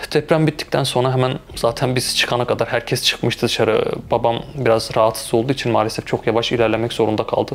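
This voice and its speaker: A man's medium-pitched voice at a very fast pace, fairly even in intonation and very even in loudness, over noticeable background noise. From Turkey, Malatya. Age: 20s. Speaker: intensive care nurse. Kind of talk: interview testimony.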